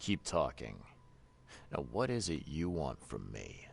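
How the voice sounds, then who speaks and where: In a put-on character voice with a calm tone, a man speaks at a fairly slow pace, his very deep, low pitch swinging very widely, with clear background noise behind him. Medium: video game. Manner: terse, calm.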